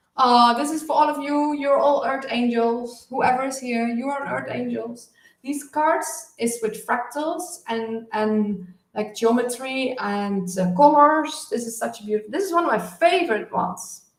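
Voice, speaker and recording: Lively intonation from a high-pitched woman, fairly slow yet with hardly any pauses, in a room with audible echo. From southern Netherlands. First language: Dutch. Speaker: spiritual healer and oracle card reader. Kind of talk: live stream card reading. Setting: live stream. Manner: halting, many fillers.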